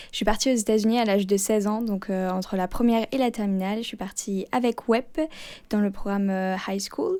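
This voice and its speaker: Her tone is dark and mellow, and her intonation fairly even as this woman talks at a fairly quick pace. The recording is very clean, with a silent background. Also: medium pitch for a woman. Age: 20s. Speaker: former exchange student. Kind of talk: interview. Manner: hesitant, many fillers.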